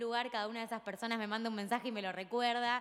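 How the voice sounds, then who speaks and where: A woman is speaking. Behind her, things stay quiet. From Argentina, Rafaela (Santa Fe). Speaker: provincial legislator. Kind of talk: ceremonial speech. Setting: legislative chamber ceremony. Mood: warm, smiling. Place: hall. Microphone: podium.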